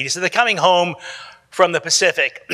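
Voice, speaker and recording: A man with an American accent speaks in a raised, projected voice at a high pitch. The sound is dry and close, with no echo. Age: 70s. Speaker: psychologist. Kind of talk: conference talk. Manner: casual, repetitive restarts.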